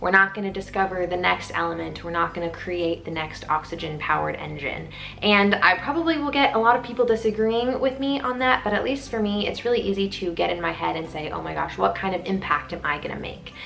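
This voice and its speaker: With an animated tone, a woman talks at a very fast pace with hardly any pauses, over noticeable background noise. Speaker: student vlogger. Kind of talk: casual vlog talk to camera.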